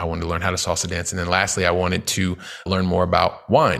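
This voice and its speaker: Very deep and low in pitch, a man speaks in an energetic tone. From US Midwest, Columbus, Ohio. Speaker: real estate investor and entrepreneur. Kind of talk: interview.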